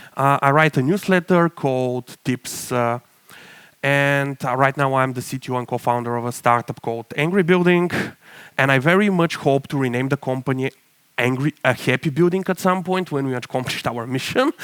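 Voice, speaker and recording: A man talks at a moderate pace with ordinary pitch variation, recorded with a dry, close sound and no echo. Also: fairly high pitch for a man. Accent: Bulgarian. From Bulgaria. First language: Bulgarian. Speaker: tech startup CTO, conference speaker. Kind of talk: conference talk.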